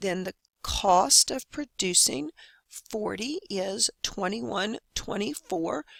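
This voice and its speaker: A woman at a very slow pace, medium in pitch, with very wide pitch swings and a dry, close sound with no echo. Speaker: math instructor. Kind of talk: lecture.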